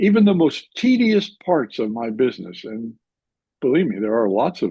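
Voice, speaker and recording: This man speaks at a moderate pace, his pitch swinging very widely. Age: 80s+. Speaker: entrepreneur, company founder. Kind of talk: interview. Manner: halting.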